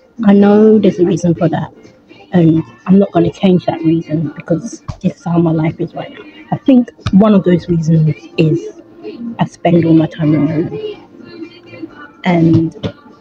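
Over clear music in the background, a woman with a fairly low pitch and ordinary pitch variation speaks at a moderate pace with long, frequent pauses, the sound dry with no echo. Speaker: vlogger. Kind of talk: casual vlog talk to camera. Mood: reflective, tired. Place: home room. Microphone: phone near.

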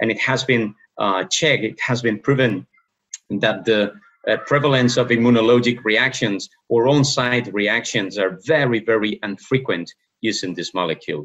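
A man's medium-pitched voice at a fairly slow pace, with ordinary pitch variation and a quiet background. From Spain. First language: Spanish (speaking Indonesian). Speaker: professor of medicine. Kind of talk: lecture. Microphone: webcam.

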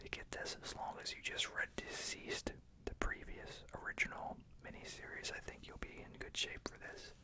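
Someone whispers in a soft-spoken way at a moderate pace, with loud background noise behind them. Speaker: comic book reviewer. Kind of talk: casual review commentary. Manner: soft ASMR whisper. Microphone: phone near.

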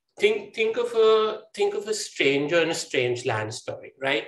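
A man's speech carries audible room echo. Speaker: guest. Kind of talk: interview answer. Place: home room. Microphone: video call.

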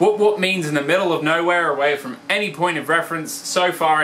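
Light background noise sits under a man with an Australian accent. He talks fairly quickly in a fairly high voice with ordinary pitch variation. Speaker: comedy vlogger. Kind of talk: comedic explainer talk to camera. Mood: deadpan humorous. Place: home room. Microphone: phone near.

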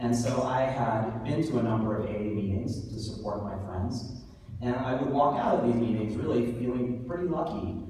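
Against light background noise and strong room echo, a man talks at a moderate pace with ordinary pitch variation. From US, New York City. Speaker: author and awards host. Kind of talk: awards ceremony speech. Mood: heartfelt, personal. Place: hall. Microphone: camera far.

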